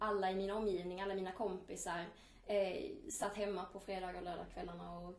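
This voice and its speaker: The clip carries noticeable background noise along with audible room echo. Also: woman. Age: 20s. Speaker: student and eating disorder survivor. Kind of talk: personal testimony.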